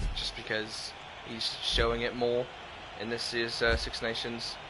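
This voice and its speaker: The speech moves at a fairly slow pace with long, frequent pauses. Noticeable background noise and audible room echo run through the recording. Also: man. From Wales. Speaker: gaming livestreamer. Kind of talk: casual livestream chat with game commentary. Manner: loud.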